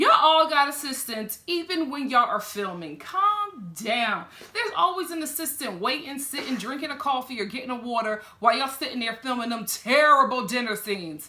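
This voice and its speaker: A woman's raised, projected voice, high in pitch, at a fairly quick pace with very wide pitch swings over noticeable background noise. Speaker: TV reality show reviewer. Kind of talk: reaction video commentary. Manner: animated, conversational.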